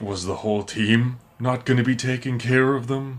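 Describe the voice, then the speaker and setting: A man's put-on character voice at a medium pitch, moderate pace and monotone, flat intonation. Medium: actual play. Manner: curt, gruff.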